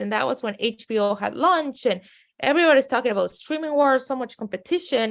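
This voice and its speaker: In a strong Mexican accent, a woman speaks at a fairly quick pace on a very clean recording with a silent background. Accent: heavy Mexican Spanish. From Mexico City, then San Diego. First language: Spanish. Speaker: media company CEO. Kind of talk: podcast interview.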